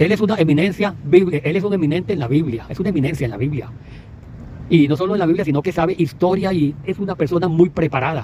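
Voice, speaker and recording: In a Costa Rican accent, a man talks at a very fast pace. His pitch sits fairly high and varies in an ordinary way. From Costa Rica, Puntarenas. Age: 60s. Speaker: evangelical preacher. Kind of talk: religious commentary monologue. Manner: halting, with many repetitions.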